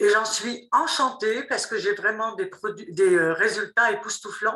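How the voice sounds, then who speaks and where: A woman talks in a normal speaking voice at a fairly high pitch. Her pace is fairly slow and her pitch variation ordinary. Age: 60s. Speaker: product user giving testimony. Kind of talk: testimony.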